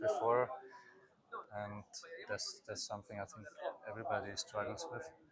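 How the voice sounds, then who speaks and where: A man speaks at a moderate pace, his loudness swinging widely. Noticeable background noise runs beneath him. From Austria (rural mountain area). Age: 20s. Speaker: expectant father, podcast guest. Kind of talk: casual interview conversation. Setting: outdoors in a pool. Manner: halting, many fillers.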